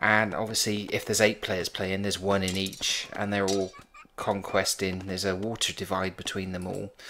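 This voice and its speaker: A man speaks with a Bristol accent in a bright, sharp tone. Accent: Bristolian English. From England, Bristol. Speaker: game commentator. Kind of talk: live gameplay commentary. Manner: casual, hesitant with fillers.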